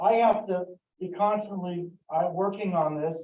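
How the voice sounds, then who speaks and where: The pitch shows ordinary variation. The pace is fairly slow. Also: man. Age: 60s. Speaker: hobbyist presenter at a computer convention. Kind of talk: live demonstration talk. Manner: halting, many fillers.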